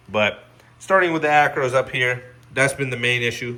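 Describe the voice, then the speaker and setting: At a moderate pace, a man with a bright, sharp tone talks at a medium pitch with ordinary pitch variation. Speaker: reef aquarium hobbyist YouTuber. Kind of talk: casual video update.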